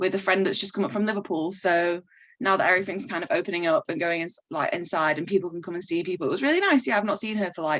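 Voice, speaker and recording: Someone speaks with a northern English accent over a quiet background. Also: woman. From northern England, Manchester. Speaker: DJ and graphic artist. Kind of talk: casual interview chat. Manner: fast, animated.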